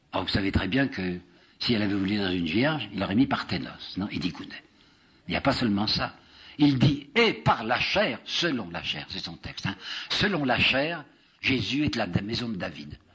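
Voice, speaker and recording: Delivery comes at a fairly slow pace. Pitch moves through very wide swings. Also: man, long, frequent pauses. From France. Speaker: historian and lecturer. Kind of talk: public lecture.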